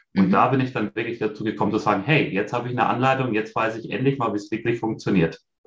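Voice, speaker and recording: A man speaks at a very fast pace with hardly any pauses, his medium-pitched voice somewhat breathy. His pitch varies in an ordinary way. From Bavaria, near Munich. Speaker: leader and vision board workshop coach. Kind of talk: interview.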